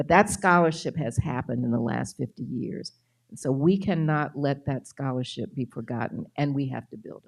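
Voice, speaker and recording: A woman with a very deep, low pitch and vocal fry talks at a moderate pace, with lively intonation and big swings in loudness. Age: 70s. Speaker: author and biographer. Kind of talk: lecture Q&A.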